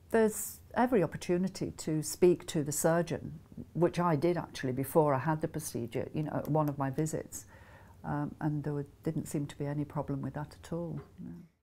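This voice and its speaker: This woman speaks with a Scottish accent and vocal fry. Her pitch is very deep and low. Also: ordinary pitch variation. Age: 60s. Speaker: patient giving a testimonial. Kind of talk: testimony. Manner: casual, with hesitations.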